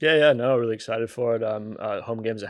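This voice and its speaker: A man at medium pitch talks at a very fast pace. He speaks with an American accent against a quiet background. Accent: American, little changed. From US Midwest, Michigan. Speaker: sports physiotherapist. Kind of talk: casual interview.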